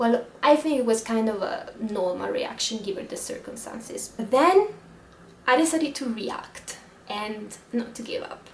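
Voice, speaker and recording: Over noticeable background noise, a woman with an Italian accent speaks at a fairly slow pace and a fairly high pitch, with lively intonation. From Italy. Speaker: travel vlogger. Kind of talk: casual vlog monologue.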